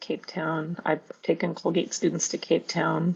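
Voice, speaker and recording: At a moderate pace, a woman speaks at a fairly low pitch with vocal fry. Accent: Canadian. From Canada. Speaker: professor. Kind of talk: panel discussion.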